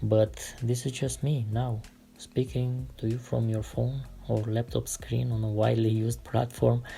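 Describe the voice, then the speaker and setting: Music plays in the background as a man talks at a moderate pace with an Eastern European accent. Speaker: artist sketching concept cars. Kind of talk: relaxed drawing tutorial with commentary. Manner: calm, relaxed.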